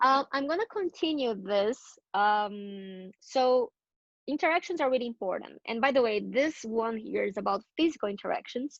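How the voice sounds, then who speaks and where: A high-pitched woman's voice with lively intonation. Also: quiet background. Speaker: community builder giving a workshop. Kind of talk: presentation to a small group. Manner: fast.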